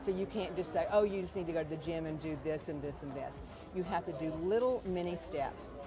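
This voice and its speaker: Heard with audible room echo and noticeable background noise, a woman speaks at a fairly low pitch. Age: 80s+. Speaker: pilates instructor. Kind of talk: TV interview. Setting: wellness expo at a gym.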